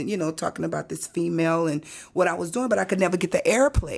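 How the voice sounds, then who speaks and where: A woman with a New Orleans accent, fairly low pitch, lively intonation and a fairly quick pace, in a very clean recording with a silent background. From New Orleans, Seventh Ward. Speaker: musician and minister. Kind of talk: interview.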